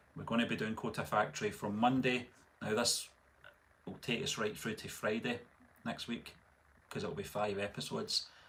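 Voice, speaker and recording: This man talks with a Scottish accent at a moderate speed. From Scotland. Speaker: movie reaction youtuber. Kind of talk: live stream chat. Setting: live stream.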